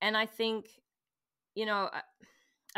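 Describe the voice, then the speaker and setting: A woman speaks with a bright, sharp tone. The recording is very clean, with a silent background. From Canada. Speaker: business owner guest. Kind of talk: casual interview chat.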